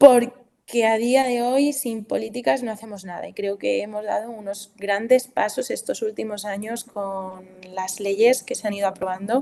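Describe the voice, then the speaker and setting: Her voice is fairly high in pitch, with a dark, mellow tone and fairly even intonation. This woman's loudness swings widely. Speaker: family doctor and sexology student. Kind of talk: talk presentation. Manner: halting with fillers.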